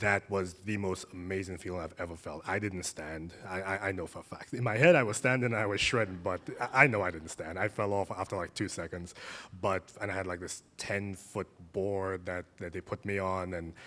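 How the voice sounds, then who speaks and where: With a slight Caribbean accent, the speaker keeps a fairly even intonation. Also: man, very deep, low pitch for a man. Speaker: surf therapy practitioner. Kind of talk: panel conversation.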